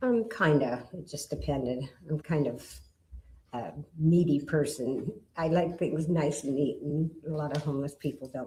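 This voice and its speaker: A woman speaks with a very deep, low pitch and a dark, mellow tone. Her voice is somewhat breathy, with ordinary pitch variation and a moderate pace. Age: 60s. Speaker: witness, stabbing survivor. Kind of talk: witness testimony. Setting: courtroom. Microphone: too far from the mic at first.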